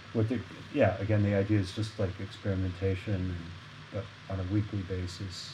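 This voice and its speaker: Amid noticeable background noise and audible room echo, a man talks at a moderate pace and fairly low pitch with fairly even intonation. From Arkansas, US South. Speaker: jazz saxophonist. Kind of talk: casual interview conversation.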